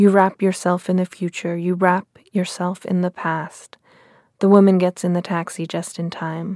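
A woman's dark, mellow tone in monotone, flat intonation, dry and close with no echo, on a very clean recording with a silent background. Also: medium pitch for a woman, moderate pace. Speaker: poet. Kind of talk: poetry reading, reading own poem aloud. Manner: measured, halting, repetitive phrasing; contemplative, reflective.

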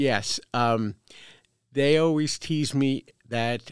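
With a New York accent, a woman speaks at a very deep, low pitch with ordinary variation, recorded dry and close with no echo. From US Northeast, Brooklyn, New York. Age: 70s. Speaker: veteran and transgender advocate. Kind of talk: interview. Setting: makeshift studio.

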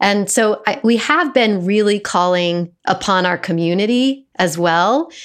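Against a quiet background, a woman in a normal speaking voice talks at a fairly slow pace and medium pitch, her intonation lively and her loudness very even. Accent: American. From Colorado, US. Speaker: actor and storyteller. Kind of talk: casual interview. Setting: video call.

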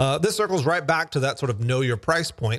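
On a very clean recording with a silent background, a man with an Alabama accent talks with lively intonation at a fairly high pitch. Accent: Southern US, Alabama. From US South, Alabama. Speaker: podcast host, startup founder. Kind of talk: solo talk on business lessons. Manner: casual, with fillers and restarts.

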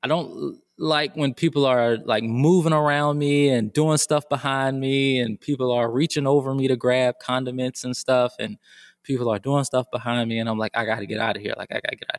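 With a plain, everyday voice and an American accent, a man speaks at a medium pitch and a fairly quick pace, his intonation fairly even but his loudness swinging widely, in a dry, close, echo-free and very clean recording with a silent background. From US South, Georgia. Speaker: school counselor. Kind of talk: casual chat.

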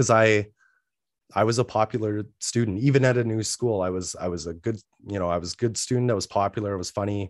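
A man's fairly low voice at a very fast pace, fairly even in intonation, dry and close with no echo over a quiet background. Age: 30s. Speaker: mental health business owner and podcast host. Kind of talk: interview. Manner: hesitant, many fillers.

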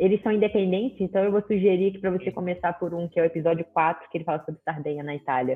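Music plays in the background as a woman with a fairly low pitch talks at a very fast pace with ordinary pitch variation. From Rio de Janeiro, Brazil. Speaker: physical education professional. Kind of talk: casual chat.

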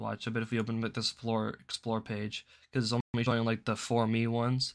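A man is speaking. His pitch is medium. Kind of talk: angry rant; casual solo news commentary show. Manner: sarcastic, taunting and dark-humored, with an exasperated, emphatic pitch; staccato, repeated commands with mock-inviting, goading defiance.

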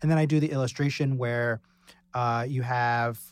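In a very clean recording with a silent background, a man speaks in a plain, everyday voice at medium pitch, moderate pace and with ordinary pitch variation. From Pennsylvania (partly Texas). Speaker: illustrator. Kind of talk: casual roundtable discussion. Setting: studio.

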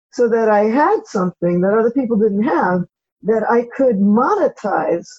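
A woman with an American accent speaks in an ordinary speaking voice, pitched fairly high. Her intonation is lively. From Brooklyn, New York. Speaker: professor. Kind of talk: interview.

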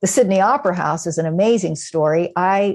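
A woman with an ordinary speaking voice, fairly low in pitch, with ordinary pitch variation and a moderate pace against a quiet background. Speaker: New Testament professor. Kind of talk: interview conversation.

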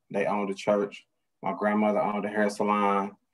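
The speaker is a man. His pitch is fairly low. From US Midwest, Detroit area. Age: 40s. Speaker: former drug dealer in recovery. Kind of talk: testimony.

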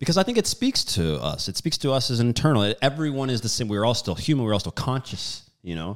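A man's medium-pitched voice, very fast and with hardly any pauses, swinging very widely in pitch, on a very clean recording with a silent background. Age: 30s. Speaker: podcast host. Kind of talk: casual interview.

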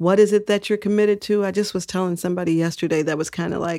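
A woman with an unremarkable speaking voice, medium pitch, an American accent, a fairly quick pace and fairly even intonation. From Texas. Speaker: civil rights official. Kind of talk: interview.

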